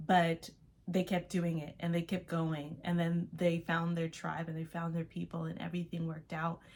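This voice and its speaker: A woman with a fairly low pitch talks at a moderate pace in a monotone, flat intonation, her voice somewhat breathy. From Los Angeles, US. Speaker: artist and vlogger. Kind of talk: casual vlog monologue.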